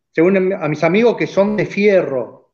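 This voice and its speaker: A man talks with music playing in the background. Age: 50s. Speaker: racing driver and car builder. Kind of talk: casual chat.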